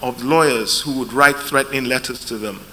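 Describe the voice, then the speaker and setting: There is noticeable background noise behind this man's voice. He has a fairly high pitch with ordinary pitch variation. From UK. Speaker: lawyer, panel chair. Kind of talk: conference panel talk.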